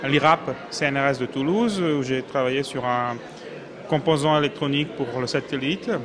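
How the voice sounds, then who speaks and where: A man speaks at a moderate pace with a fairly high pitch. Noticeable background noise can be heard. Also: ordinary pitch variation. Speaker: engineering student. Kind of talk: testimony. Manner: hesitant.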